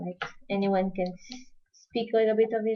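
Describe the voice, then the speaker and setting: A woman speaks in a Portuguese accent at a medium pitch. Her intonation is flat and monotone. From Portugal. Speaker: crafting tutorial host. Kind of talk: live-streamed craft tutorial. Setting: live stream. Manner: halting, non-fluent English.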